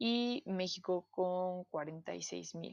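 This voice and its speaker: This is a woman with a Mexican accent. Her pitch sits in the medium range. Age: 20s. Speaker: podcast host. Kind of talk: casual chat. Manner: hesitant, frequent fillers.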